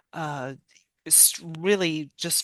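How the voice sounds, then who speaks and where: A fairly low-pitched woman's voice with lively intonation, dry and close with no echo, over a quiet background. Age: middle-aged. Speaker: podcast co-host. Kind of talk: casual chat. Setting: remote recording, not in same room.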